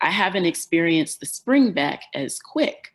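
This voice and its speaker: A woman with an American accent speaks at a moderate pace in a fairly low pitch, a plain, everyday voice. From Detroit, Michigan. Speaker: farmer, educator. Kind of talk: conference keynote speech.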